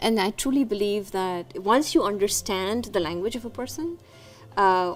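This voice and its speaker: A woman's medium-pitched voice is heard with music in the background. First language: Konkani. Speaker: community organization leader. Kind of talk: interview.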